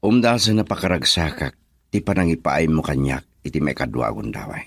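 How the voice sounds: A man does a put-on character voice with an extremely low pitch, vocal fry, a slightly husky edge, lively intonation and a fairly quick pace.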